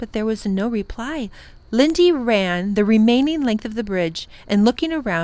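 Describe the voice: Lively intonation over plain reading aloud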